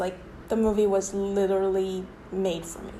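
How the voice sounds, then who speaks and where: Audible room echo surrounds a woman whose medium-pitched voice has a dark, mellow tone and moves at a moderate pace. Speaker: video essayist. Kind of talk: casual vlog commentary.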